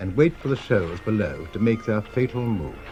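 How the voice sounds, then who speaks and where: A man's speech moves at a moderate pace as music plays behind it. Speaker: documentary narrator. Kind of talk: documentary narration.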